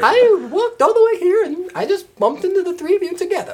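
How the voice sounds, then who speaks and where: A woman's put-on character voice, extremely high-pitched and very fast. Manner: cheerful, rambling.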